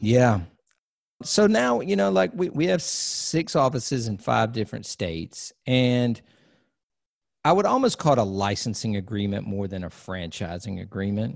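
Here a man speaks at a moderate pace in a medium pitch with lively intonation. The recording is very clean, with a silent background. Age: 40s. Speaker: DJ and production company owner. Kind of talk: interview conversation. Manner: halting.

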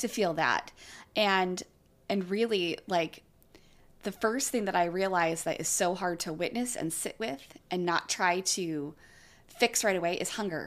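With an American accent, a woman has an unremarkable speaking voice, speaking at a fairly slow pace with medium pitch and ordinary pitch variation on a very clean recording with a silent background. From California. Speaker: yoga teacher. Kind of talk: casual chat.

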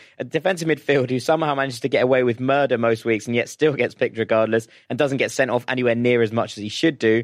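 This man has a British accent and a medium pitch. He talks at a very fast pace. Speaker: football podcast host. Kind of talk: casual chat. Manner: animated.

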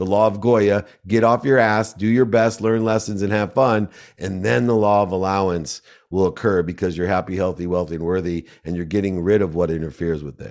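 In an unremarkable speaking voice, a man with a fairly low pitch and ordinary pitch variation talks at a fairly quick pace on a very clean recording with a silent background. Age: 50s. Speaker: entrepreneur and speaker. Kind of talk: interview.

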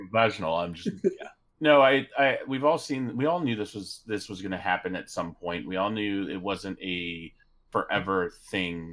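A man with an ordinary speaking voice, fairly low in pitch, at a moderate pace, on a very clean recording with a silent background. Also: lively intonation. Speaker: podcast co-host. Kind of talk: casual chat. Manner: excitable.

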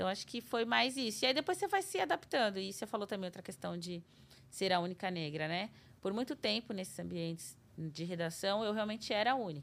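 A woman speaks in a normal speaking voice at medium pitch. Her intonation is lively. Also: fairly quick pace. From Brazil, São Paulo city. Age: 30s. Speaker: TV journalist. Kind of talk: casual interview.

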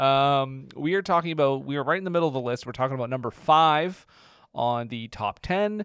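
A man with a Canadian accent, fairly high-pitched, at a fairly quick pace with ordinary pitch variation, on a very clean recording with a silent background. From Atlantic Canada. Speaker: podcast co-host. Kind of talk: casual chat.

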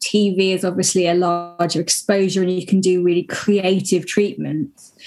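A woman with a plain, everyday voice at medium pitch speaks at a moderate pace and with fairly even intonation, in a very clean recording with a silent background. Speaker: motorsport presenter and commentator. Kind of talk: casual chat.

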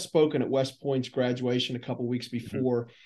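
At a fairly quick pace, a man talks in an ordinary speaking voice at medium pitch. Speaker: podcast host. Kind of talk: interview.

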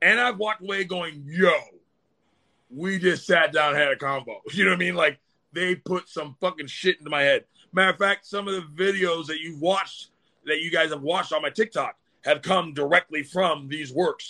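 A man speaks loudly in a high, bright, sharp voice with an animated tone. Pitch variation is ordinary, and the sound is dry and close with no echo. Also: moderate pace. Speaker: spiritual practitioner guest. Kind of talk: casual livestream chat.

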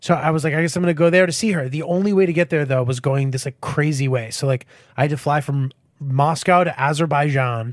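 A man with an American accent and a fairly high pitch talks at a very fast pace with ordinary pitch variation, recorded very cleanly over a silent background. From Connecticut, US. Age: 30s. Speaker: comedian. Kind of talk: casual chat.

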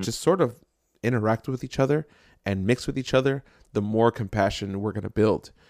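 An unremarkable speaking voice from a man with an American accent, medium pitch and ordinary pitch variation, fairly quick pace, in a very clean recording with a silent background and a dry, close sound with no echo. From New Jersey, Jersey City. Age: 30s. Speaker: podcast host. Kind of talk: casual chat.

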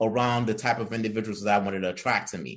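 A man speaks in an unremarkable speaking voice. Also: quiet background. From immigrant to the US from another country. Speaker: entrepreneur and executive director. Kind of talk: interview podcast.

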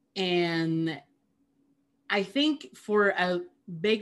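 Here is a woman with a fairly low pitch and ordinary pitch variation. The recording is very clean, with a silent background. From Peru. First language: Spanish. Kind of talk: casual conversation.

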